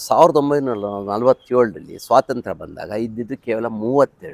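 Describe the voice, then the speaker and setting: A man with an unremarkable speaking voice, medium pitch and lively intonation, in a dry, close sound with no echo. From India, Bengaluru, Karnataka. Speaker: fertility doctor. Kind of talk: interview.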